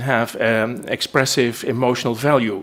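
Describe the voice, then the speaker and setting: A man with a Dutch accent, medium pitch, fairly even intonation and a fairly slow pace. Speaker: linguist. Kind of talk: lecture. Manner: halting.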